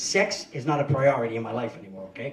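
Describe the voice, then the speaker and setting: A man talks at a fairly quick pace, with audible room echo. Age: 50s. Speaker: stand-up comedian. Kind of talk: stand-up. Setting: stage with audience.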